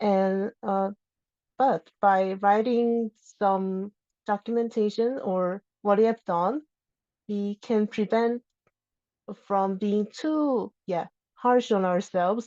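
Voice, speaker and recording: A woman's medium-pitched voice with a non-native accent, very slow with long, frequent pauses and fairly even intonation, in a dry, close sound with no echo. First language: not English. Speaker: open source contributor. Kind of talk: lightning talk. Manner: halting.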